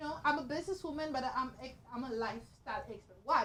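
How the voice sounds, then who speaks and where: Her pitch is high. The woman talks at a fairly quick pace. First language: Haitian Creole. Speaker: talk show host, lifestyle expert. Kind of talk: interview.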